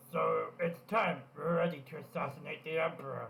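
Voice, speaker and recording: At a moderate pace, a man does a put-on character voice with a fairly high pitch. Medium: game stream.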